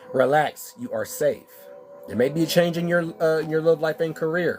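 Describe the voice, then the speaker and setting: Over music in the background, a man with an American accent talks at a moderate pace in a fairly high pitch, with ordinary pitch variation. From Texas. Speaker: spiritual card reader. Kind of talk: live-stream oracle card reading.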